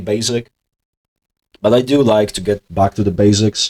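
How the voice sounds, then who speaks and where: A man with a fairly low pitch at a moderate pace, in a dry, close sound with no echo. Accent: non-native. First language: not English. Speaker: investing video host. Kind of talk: casual monologue. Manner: hesitant, many filler words.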